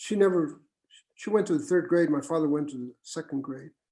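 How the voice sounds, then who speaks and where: In a dark, mellow tone, a man speaks at a fairly quick pace with fairly high pitch and ordinary pitch variation. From Southern California, Mexican-American barrio. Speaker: retired university administrator. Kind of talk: panel interview. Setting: video call. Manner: halting.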